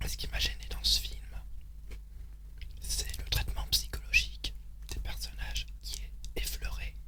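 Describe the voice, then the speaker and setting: A man whispering at a very slow pace, with long, frequent pauses and noticeable background noise. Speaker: ASMR creator. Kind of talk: ASMR whisper, casual talk to camera. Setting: home recording, close mic, eating sounds. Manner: whispered, slow, with hesitations.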